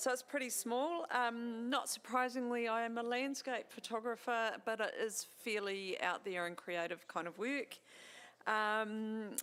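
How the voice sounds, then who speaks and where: At a fairly slow pace, a woman with a New Zealand accent speaks in a bright, sharp tone and a fairly high pitch. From New Zealand, Central Otago. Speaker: landscape photographer and awards judge. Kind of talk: self-introduction.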